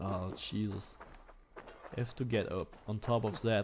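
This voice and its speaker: A man's voice sits fairly low, and his intonation stays fairly even. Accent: German. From Germany. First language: German. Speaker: gaming streamer. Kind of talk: live gameplay stream commentary. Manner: casual, hesitant with fillers.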